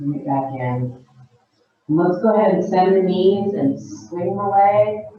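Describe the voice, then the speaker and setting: Soft-spoken, very slow speech. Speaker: dance teacher. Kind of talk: guided exercise class instruction.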